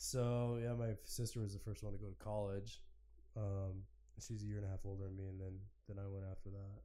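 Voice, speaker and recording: A man speaks at a fairly quick pace in a fairly low pitch, his tone dark and mellow and his intonation flat and monotone, with audible echo in the room. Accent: American. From Oregon, US. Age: 30s. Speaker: business owner. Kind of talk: casual chat.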